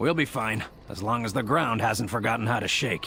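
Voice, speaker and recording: A man puts on a raspy character voice at medium pitch. He talks at a fairly quick pace over light background noise. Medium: video game.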